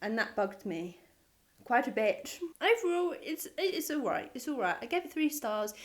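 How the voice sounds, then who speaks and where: A woman mumbling, her pitch swinging very widely. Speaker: book reviewer. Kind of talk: casual talk to camera.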